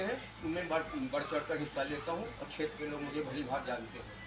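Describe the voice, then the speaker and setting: A man speaks at a fairly high pitch. Room echo is audible, and there is noticeable background noise. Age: 70s. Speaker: senior citizen party worker. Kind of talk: interview.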